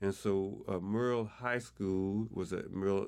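Ordinary pitch variation runs through speech delivered in a Southern US accent. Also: man. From Arkansas, Pine Bluff. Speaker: community elder. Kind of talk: interview.

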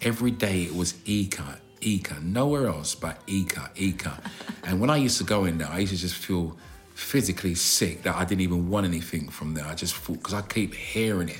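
With a South London accent, a man with a very deep, low voice talks at a fairly quick pace with ordinary pitch variation over noticeable background noise. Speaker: podcast co-host. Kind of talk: casual chat.

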